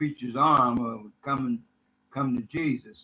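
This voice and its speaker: A man talks at a moderate pace with a medium pitch. His tone is bright and sharp, and his intonation is monotone and flat. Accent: American. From Decatur, Illinois, US Midwest. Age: 80s+. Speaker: imam. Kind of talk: interview, personal testimony. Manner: halting, many fillers.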